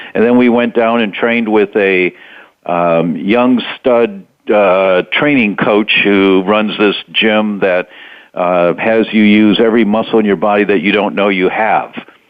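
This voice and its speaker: An ordinary speaking voice from a man, fairly low in pitch, at a fairly slow pace with fairly even intonation. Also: very even loudness. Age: 60s. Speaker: doctor and health author. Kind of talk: interview. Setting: radio interview.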